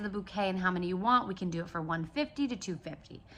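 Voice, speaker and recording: A woman's medium-pitched, bright and sharp voice with ordinary pitch variation on a very clean recording with a silent background. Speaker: business coach and caterer. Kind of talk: casual vlog tutorial. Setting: handheld selfie vlog, close to camera. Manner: fast.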